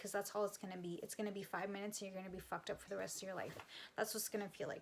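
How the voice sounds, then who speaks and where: A woman speaks in a plain, everyday voice, with fairly even intonation at a medium pitch. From Canada. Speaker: psychic medium and energy healer. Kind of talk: casual talk to camera. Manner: casual, conversational, with fillers and swearing.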